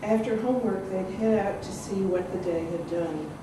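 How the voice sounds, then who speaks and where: A woman talks at a moderate pace. Noticeable background noise and audible room echo come through in the recording. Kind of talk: reading aloud from a novel. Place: hall. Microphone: camera far.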